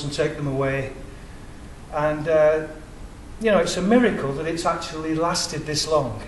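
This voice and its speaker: Amid noticeable background noise and audible room echo, a man with an English accent speaks at a moderate pace and a fairly high pitch with fairly even intonation. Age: 60s. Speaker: independent researcher. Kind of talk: public presentation.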